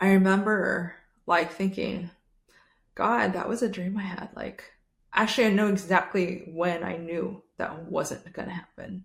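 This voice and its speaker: Speaking at a fairly slow pace, a woman uses a medium-pitched, somewhat breathy voice with fairly even intonation and big swings in loudness. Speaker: podcast host. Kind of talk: casual chat.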